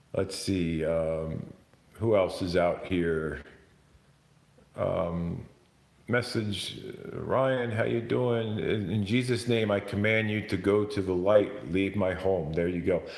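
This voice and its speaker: Audible room echo follows a man who speaks very slowly, with a fairly low pitch and ordinary pitch variation. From New Jersey / New York, US. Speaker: YouTuber ghost hunter. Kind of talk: live stream chat. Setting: at home, live stream. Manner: loud; halting.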